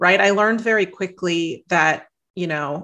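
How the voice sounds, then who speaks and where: A woman with an American accent speaks in a normal speaking voice at a fairly slow pace. Her intonation is lively, and the recording is very clean with a silent background. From US Midwest. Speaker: author and life coach. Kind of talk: interview.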